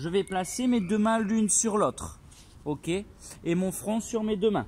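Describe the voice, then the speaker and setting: Here a man speaks with lively intonation. His voice is high-pitched. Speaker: pilates instructor. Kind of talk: tutorial. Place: open country. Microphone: phone near.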